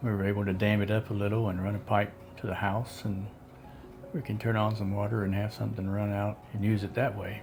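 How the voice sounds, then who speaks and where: Over music in the background, a man with an Appalachian accent talks at a fairly quick pace, his fairly low pitch delivered in monotone, flat intonation. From West Virginia. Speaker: storyteller. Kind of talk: casual storytelling.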